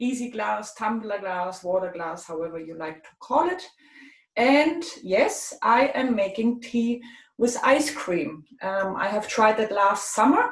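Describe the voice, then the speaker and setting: With a German accent, a woman speaks at a fairly slow pace and a fairly high pitch, using lively intonation and big swings in loudness. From Germany. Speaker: tea expert presenter. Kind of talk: tutorial.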